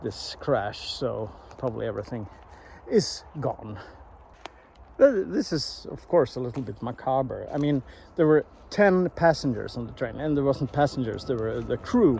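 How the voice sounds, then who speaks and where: A man with a Swedish accent speaks at a moderate pace and medium pitch, his dark, mellow tone somewhat breathy and his intonation lively. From Sweden. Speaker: vlogger. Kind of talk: walking vlog. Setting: outdoors in a forest. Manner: halting, many restarts and fillers.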